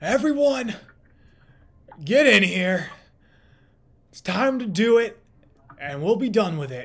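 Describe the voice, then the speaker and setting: A loud, gruff put-on character voice at a fairly high pitch. It moves at a fairly slow pace with long, frequent pauses. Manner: commanding.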